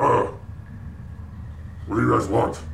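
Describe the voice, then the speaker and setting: A man puts on a gruff character voice over clear background noise. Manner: suspicious, blunt.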